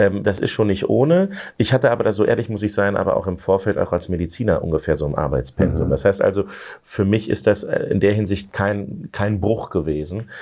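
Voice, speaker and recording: A man speaks with a dark, mellow tone and a fairly low pitch. He moves at a fairly quick pace, his pitch varying in an ordinary way. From Lower Saxony, Germany. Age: 40s. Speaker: politician. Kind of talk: interview.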